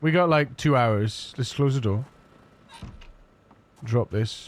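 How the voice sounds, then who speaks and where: Quietly, a man talks with ordinary variation in his pitch. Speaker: gaming streamer. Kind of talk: live gameplay commentary. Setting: live stream. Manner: quiet, focused.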